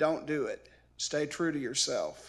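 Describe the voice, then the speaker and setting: On a very clean recording with a silent background, a man with an American accent speaks at a fairly high pitch. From southern Illinois, rural. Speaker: commencement speaker. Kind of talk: commencement address.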